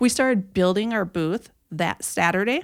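Very wide pitch swings mark this speech with an Upper Midwest accent, heard in a very clean recording with a silent background. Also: woman. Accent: Upper Midwest American. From Minnesota. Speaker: campaign volunteer. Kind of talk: casual chat.

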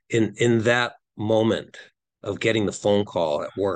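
A man with a Wisconsin accent against a quiet background. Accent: Upper Midwest (Wisconsin) American. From Wisconsin, near Green Bay. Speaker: nonprofit founder. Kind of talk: podcast interview.

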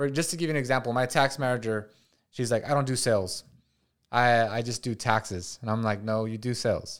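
Speaking at a fairly quick pace, a man has medium pitch, ordinary pitch variation, and an unremarkable speaking voice. The recording is very clean, with a silent background. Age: 30s. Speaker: podcast host, entrepreneur. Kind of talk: casual interview.

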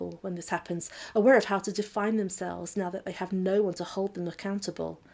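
Intonation is fairly even. This is reading aloud in a natural voice.

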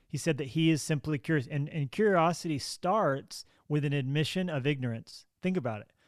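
A plain, everyday voice from a man at a fairly high pitch, fairly quick and with ordinary pitch variation, in a very clean recording with a silent background. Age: 30s. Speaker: pastor. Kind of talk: interview.

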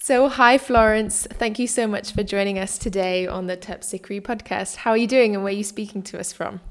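Speaking at a fairly quick pace with hardly any pauses, a woman with a British accent keeps a medium pitch and fairly even intonation. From Britain. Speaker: dance writer and podcast host. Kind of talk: interview.

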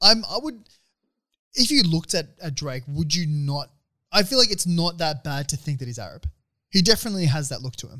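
Lively intonation in an Australian accent, with long, frequent pauses and big swings in loudness. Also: man, fairly high pitch for a man. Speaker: podcast co-host. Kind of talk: casual chat.

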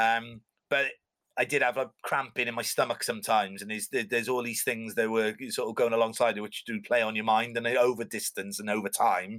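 This man speaks in a Cardiff accent at a fairly quick pace. The recording is very clean, with a silent background. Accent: Welsh (Cardiff). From Wales, Cardiff. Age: 30s. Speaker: swim coach and endurance swimmer. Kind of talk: casual interview chat. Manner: halting, many fillers.

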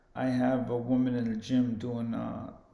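With audible room echo, a man speaks in a dark, mellow tone. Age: 50s. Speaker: boxing gym owner and boxer. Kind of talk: casual chat.

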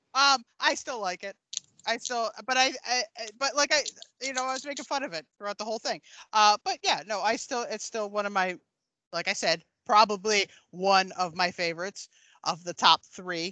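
A woman talks at a moderate pace in a fairly high, bright, sharp voice with lively intonation and an animated tone. She leaves long, frequent pauses, and the sound is dry and close with no echo. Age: 40s. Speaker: podcast guest, movie fan. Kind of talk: casual chat.

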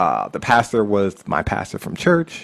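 A man with an American accent and a plain, everyday voice, fairly low in pitch, at a moderate pace. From Pennsylvania, Lancaster County. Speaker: wedding DJ. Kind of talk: casual interview chat. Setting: remote recording.

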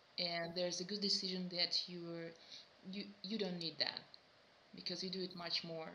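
Over noticeable background noise, a woman with a Russian accent speaks in a monotone, flat intonation at a moderate pace, leaving long, frequent pauses. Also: fairly low pitch for a woman. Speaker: metal vocalist. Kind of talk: interview. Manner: halting.

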